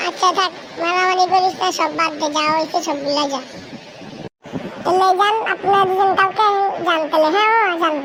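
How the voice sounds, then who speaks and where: Over clear background noise, a cartoonish character voice at an extremely high pitch goes along at a moderate pace. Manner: brash, loud, colloquial.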